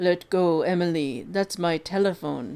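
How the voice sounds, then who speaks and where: The speaker puts on a character voice, pitched in the middle and delivered at a moderate speed. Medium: read story.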